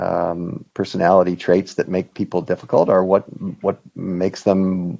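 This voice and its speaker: A man with a very deep, low pitch and a dark, mellow tone speaks at a moderate pace with ordinary pitch variation. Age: 60s. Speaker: whistleblower lawyer. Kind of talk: interview conversation. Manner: halting, many fillers.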